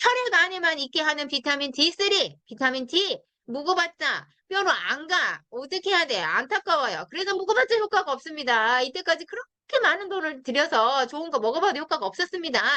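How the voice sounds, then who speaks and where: A woman talks at a fairly quick clip with hardly any pauses, her raised, projected voice bright and sharp, pitched extremely high and swinging very widely up and down. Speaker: network marketing product trainer. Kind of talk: product training talk. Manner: fast; animated.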